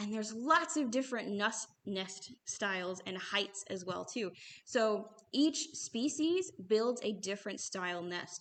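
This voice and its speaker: Her pitch is medium and her intonation lively. The woman talks at a moderate pace. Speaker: bird store staff presenter. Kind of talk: livestream presentation. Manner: halting.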